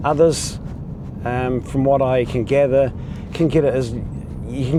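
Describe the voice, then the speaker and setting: A man speaks fairly slowly at medium pitch with fairly even intonation. Noticeable background noise and audible room echo are present. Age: 60s. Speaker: video blogger living with essential tremors. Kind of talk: casual vlog talk to camera. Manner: halting with many fillers.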